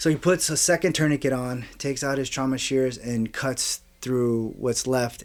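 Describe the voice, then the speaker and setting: A medium-pitched man with an American accent and fairly even intonation, noticeable background noise behind him. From Miami, Florida. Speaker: war veteran. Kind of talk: testimony. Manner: halting.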